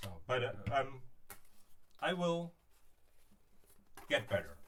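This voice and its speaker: A man speaks with a German accent. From Berlin, Germany. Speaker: DIY prop maker. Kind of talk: live stream crafting tutorial. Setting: live stream. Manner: halting, hesitant.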